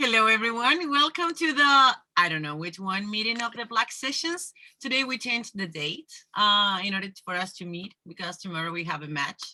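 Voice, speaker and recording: A woman with a Spanish accent, her bright, sharp tone set at a fairly high pitch, very wide pitch swings, and a moderate pace. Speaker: discussion group facilitator. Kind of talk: casual group discussion. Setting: video call.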